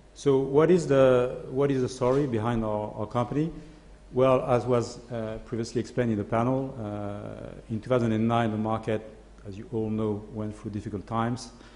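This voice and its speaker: A man at medium pitch with fairly even intonation, a moderate pace and audible room echo. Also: big swings in loudness. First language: French. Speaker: asset management CEO. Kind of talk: conference presentation. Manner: hesitant, many fillers.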